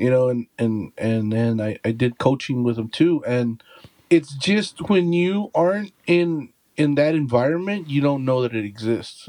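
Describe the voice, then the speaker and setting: A man's medium-pitched voice in an American accent, at a moderate pace with ordinary pitch variation, in a dry, close sound with no echo. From Texas. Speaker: podcast co-host. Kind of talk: casual chat.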